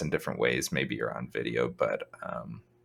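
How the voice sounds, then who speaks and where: A man speaks quietly at a moderate pace. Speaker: podcast co-host. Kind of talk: casual chat.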